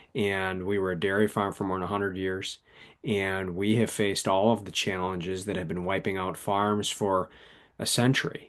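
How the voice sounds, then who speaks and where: A man in an Upper Midwest accent, fairly low-pitched and monotone, with flat intonation. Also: quiet background. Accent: Upper Midwest American. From southern Wisconsin. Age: 40s. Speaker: author. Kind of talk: interview.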